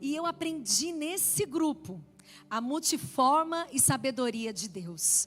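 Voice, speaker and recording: With lively intonation, a woman talks in an animated tone. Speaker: women's ministry preacher. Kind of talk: sermon.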